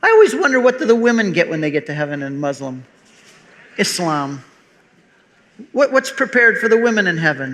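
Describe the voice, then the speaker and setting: With an American accent, a man talks in a high pitch and a bright, sharp tone, his pitch swinging very widely between long, frequent pauses. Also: fairly quick pace. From US Midwest, outside Detroit, Michigan. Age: 60s. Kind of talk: public talk.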